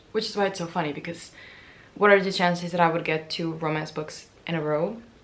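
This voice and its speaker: A woman's fairly low voice at a very fast pace, with audible room echo. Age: 20s. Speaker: booktuber. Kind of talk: casual vlog talk. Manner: animated.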